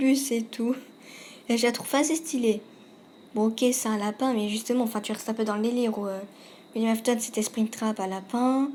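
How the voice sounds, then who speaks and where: A woman speaks at a moderate pace with a fairly high pitch. Her tone is dark and mellow, and her voice is somewhat breathy. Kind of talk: casual video game commentary. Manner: hesitant, some stammering.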